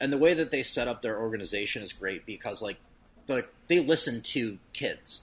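This man speaks with an American accent at a moderate pace. He has a plain, everyday voice and lively intonation. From US Midwest. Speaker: hot sauce company owner. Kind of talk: casual chat.

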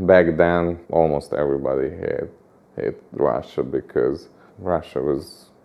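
At a fairly slow pace, a man speaks with a Hungarian accent. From Budapest, Hungary. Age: 40s. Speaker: interviewee, Hungarian resident. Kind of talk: interview. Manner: halting, with many repetitions.

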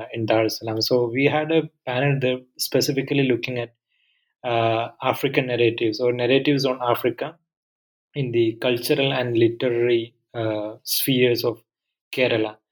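On a very clean recording with a silent background, a man with an Indian accent talks at a moderate pace and medium pitch in a monotone, flat way. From southern India. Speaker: history professor. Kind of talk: academic podcast interview.

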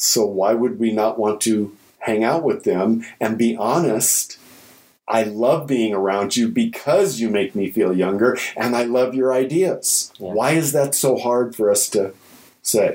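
At a fairly slow pace, a man speaks in a plain, everyday voice with a medium pitch and ordinary pitch variation. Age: 60s. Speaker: corporate consultant and public speaker. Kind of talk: casual interview conversation.

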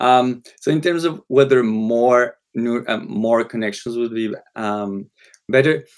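Here a man speaks with a Spanish accent and ordinary pitch variation. The recording is very clean, with a silent background. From Colombia. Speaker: psychology professor. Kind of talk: panel discussion.

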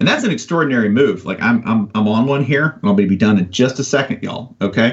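Somewhat breathy and animated in tone, the voice races along at a very fast pace with an American accent. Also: man, medium pitch for a man, lively intonation. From US South. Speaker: sports writer. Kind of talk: casual chat.

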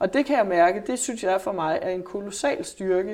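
A woman speaks at a moderate pace with lively intonation and a dark, mellow tone. The recording is very clean, with a silent background. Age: 40s. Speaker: journalist and psychotherapist. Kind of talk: interview. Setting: office.

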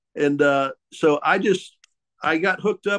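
An Ozark accent with ordinary pitch variation in a dry, close sound with no echo. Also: man. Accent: Ozark Southern US. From US South, Ozark Mountains. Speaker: boat builder. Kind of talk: casual chat.

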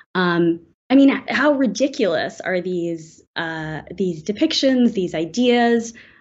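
A woman speaks very slowly in a medium pitch with an American accent. Her pitch swings very widely. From US South, Atlanta suburbs. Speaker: novelist. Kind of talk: interview.

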